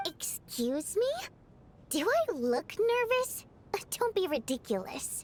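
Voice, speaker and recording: In a put-on character voice, a woman speaks with an extremely high pitch and very wide pitch swings. Her pace is fairly slow, broken by long, frequent pauses. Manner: denying, haughty.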